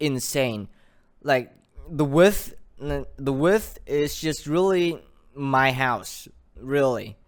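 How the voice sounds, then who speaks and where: The pace is very slow. The intonation is lively. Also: man. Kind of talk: casual talk to camera. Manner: stuttering.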